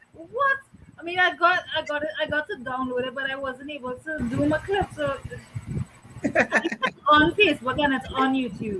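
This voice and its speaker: Over noticeable background noise, a woman with a strong Trinidadian accent projects a raised, high-pitched voice at a moderate pace with ordinary pitch variation. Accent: thick Trinidadian. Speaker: co-host of talk show. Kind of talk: casual online talk show.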